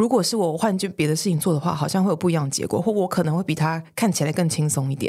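On a very clean recording with a silent background, a woman with a dark, mellow tone and a fairly low pitch talks at a very fast pace. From Taiwan. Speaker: senior manager. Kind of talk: casual interview.

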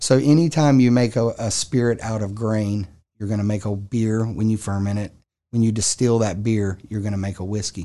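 Against a quiet background, a man with a Southern US accent speaks at a moderate pace in a dark, mellow tone, his fairly low pitch kept in fairly even intonation. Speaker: distillery owner. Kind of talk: interview.

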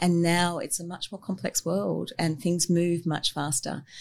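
Recorded very cleanly against a silent background, a woman with an Australian accent talks at a moderate pace in a fairly low pitch. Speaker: architect. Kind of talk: interview.

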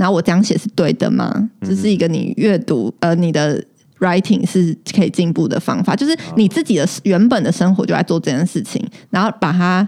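A woman's medium-pitched voice with lively intonation over noticeable background noise. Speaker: podcast co-host. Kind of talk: casual chat.

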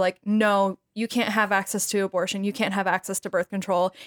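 A woman with a Midwestern US accent, in a very clean recording with a silent background and a dry, close sound with no echo. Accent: US Midwest. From Wisconsin. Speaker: medical student. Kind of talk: casual chat.

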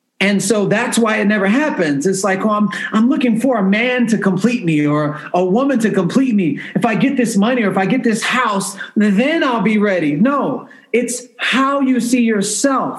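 Over noticeable background noise and audible room echo, a man with a high voice talks at a moderate pace with hardly any pauses, very even loudness and ordinary pitch variation. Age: 40s. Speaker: entrepreneur. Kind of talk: casual chat. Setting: remote recording from a hotel.

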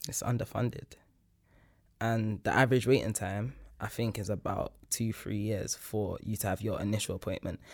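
In a very clean recording with a silent background, a man speaks in a plain, everyday voice, fairly low in pitch, at a moderate pace with fairly even intonation. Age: 20s. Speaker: academic and artist. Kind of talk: casual chat.

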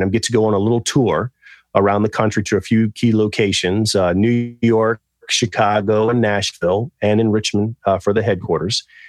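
In an ordinary speaking voice, a man with a fairly low pitch talks at a moderate pace with fairly even intonation against a quiet background. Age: 40s. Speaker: fashion designer and actor. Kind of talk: casual interview chat.

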